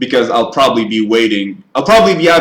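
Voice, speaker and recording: With an Israeli accent, a man talks at a medium pitch. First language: Hebrew. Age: 20s. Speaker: YouTuber, TV show reviewer. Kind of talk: live stream Q&A chat. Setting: live stream. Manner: halting.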